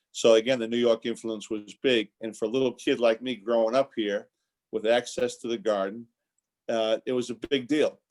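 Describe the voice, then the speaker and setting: A man with a Boston accent, at a medium pitch and moderate pace, with fairly even intonation, in a dry, close sound with no echo. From Boston area, Massachusetts (Quincy). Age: 60s. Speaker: basketball coach and former team executive. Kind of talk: interview. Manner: repeats words often, restarts.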